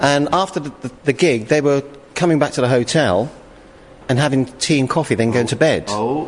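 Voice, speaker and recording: A man is speaking with a British accent. His pace is fairly quick. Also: ordinary pitch variation. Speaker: pop group singer. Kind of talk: recorded interview.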